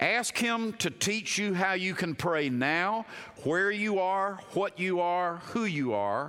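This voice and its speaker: A man with a high pitch and a bright, sharp tone speaks very slowly in a raised, projected voice, with ordinary pitch variation and very even loudness. The recording is very clean against a silent background. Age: 60s. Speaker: pastor. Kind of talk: sermon. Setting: chapel.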